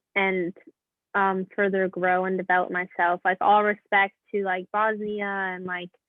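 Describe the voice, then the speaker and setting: In an American accent, a woman talks at a moderate pace with a medium pitch and monotone, flat intonation. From US South, Louisville, Kentucky. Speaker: professional soccer player. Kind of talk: casual interview chat.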